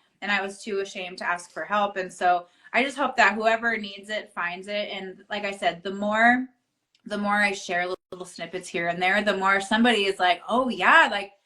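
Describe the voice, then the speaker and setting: A woman with an ordinary speaking voice talks at a moderate pace, her medium pitch carried by fairly even intonation. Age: 30s. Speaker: author and entrepreneur. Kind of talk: casual interview chat. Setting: Instagram live video.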